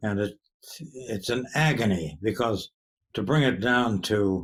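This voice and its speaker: A man speaks here. His voice sits at a medium pitch. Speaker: poet. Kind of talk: interview answer.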